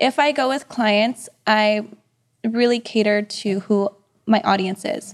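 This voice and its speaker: Dry and close with no echo, a woman speaks in a normal speaking voice, with fairly high pitch and fairly even intonation. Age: 30s. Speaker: real estate agent. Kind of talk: casual interview chat.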